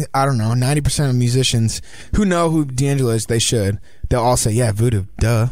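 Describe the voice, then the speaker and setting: A man speaks in an unremarkable speaking voice at medium pitch and moderate pace, with ordinary pitch variation and very even loudness. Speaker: band singer. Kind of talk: casual radio interview. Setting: radio studio.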